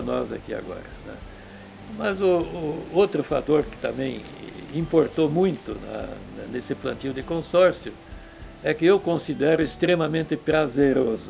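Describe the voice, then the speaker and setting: With music in the background, a man speaks at a fairly slow pace, leaving long, frequent pauses, his loudness swinging widely. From southern Brazil (Rio Grande do Sul). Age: 80s+. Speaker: cattle rancher. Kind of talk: interview testimony. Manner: halting.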